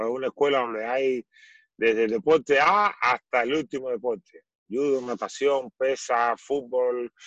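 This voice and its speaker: In an unremarkable speaking voice, a man of medium pitch speaks at a fairly slow pace, with a dry, close sound and no echo. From Cuba. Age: 40s. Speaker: former volleyball player. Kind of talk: interview.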